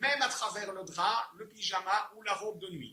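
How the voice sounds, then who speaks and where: A man speaks at a very slow pace in a raised, projected voice that is high-pitched, with ordinary pitch variation. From Belgium. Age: 60s. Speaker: inventor selling his product. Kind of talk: sales pitch. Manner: halting, with repeated words.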